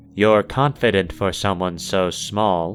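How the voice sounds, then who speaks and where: Over clear background music, a man puts on a character voice, fairly low in pitch and fairly slow in pace. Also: ordinary pitch variation. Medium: read story.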